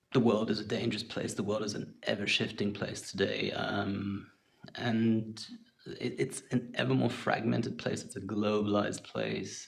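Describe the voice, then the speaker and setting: A man speaks with a fairly low pitch and fairly even intonation at a moderate pace. Noticeable background noise runs underneath. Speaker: podcast host. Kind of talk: casual podcast monologue. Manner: hesitant, halting.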